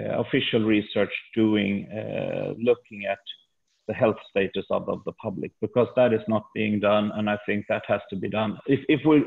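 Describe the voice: Speaking with a Swedish accent at a moderate pace, a man shows vocal fry, a slightly husky edge, fairly even intonation and a fairly low pitch.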